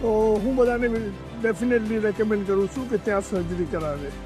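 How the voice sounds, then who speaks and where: Music plays in the background as a man speaks. His voice is high in pitch with ordinary variation. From Kutch, Gujarat, India. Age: 70s. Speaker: knee surgery patient. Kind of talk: patient testimonial.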